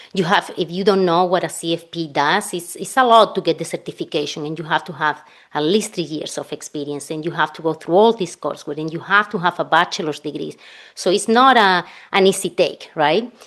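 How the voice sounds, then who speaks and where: Against a quiet background, a woman with a Spanish accent talks at a fairly low pitch with ordinary pitch variation. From Spain. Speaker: financial planner. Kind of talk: podcast interview.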